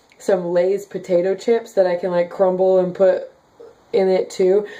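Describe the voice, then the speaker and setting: A woman speaks at a medium pitch. She has an American accent. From Kansas, US Midwest. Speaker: daily vlogger. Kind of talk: casual vlog reading comments. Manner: chatty, many fillers.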